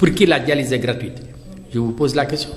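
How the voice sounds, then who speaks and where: A man speaks with ordinary pitch variation. Audible room echo and noticeable background noise surround him. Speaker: dialysis patient and activist. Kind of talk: interview. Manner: animated.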